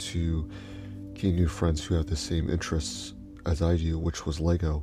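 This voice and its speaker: Whispering, a soft-spoken man talks with music in the background. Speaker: YouTuber and Lego fan. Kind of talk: personal story voice-over. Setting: indoor home recording at night, late voice-over. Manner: soft-spoken, near whisper.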